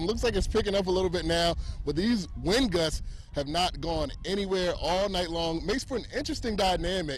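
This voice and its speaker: With an upbeat tone and a high pitch, a man talks at a fairly quick pace with ordinary pitch variation and very even loudness over noticeable background noise. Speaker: sports anchor and reporter. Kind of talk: sports broadcast anchoring. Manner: casual, upbeat banter.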